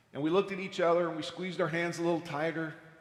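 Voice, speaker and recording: A man's high-pitched voice with fairly even intonation, noticeable background noise and audible room echo. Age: 60s. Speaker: astronaut. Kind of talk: testimony. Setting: church.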